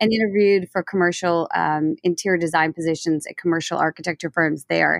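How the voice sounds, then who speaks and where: A woman speaks in a plain, everyday voice, fairly low in pitch, at a fairly quick pace with hardly any pauses. Her intonation is fairly even, and the sound is dry and close with no echo. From New Orleans, US. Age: 40s. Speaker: interior designer and business owner. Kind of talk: interview.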